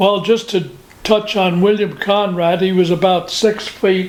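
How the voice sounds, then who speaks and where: A man with an American accent and a high pitch, at a very slow pace with very even loudness and fairly even intonation, over noticeable background noise. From New Jersey. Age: 90s. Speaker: war veteran. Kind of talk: oral history interview. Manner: halting.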